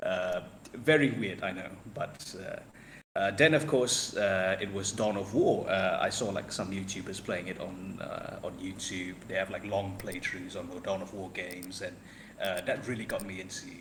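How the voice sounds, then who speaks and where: A man with a non-native accent talks at a moderate pace in a fairly low pitch. There is audible room echo and noticeable background noise. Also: ordinary pitch variation. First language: not English. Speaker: podcast guest, wargaming hobbyist. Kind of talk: casual chat. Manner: halting, many fillers.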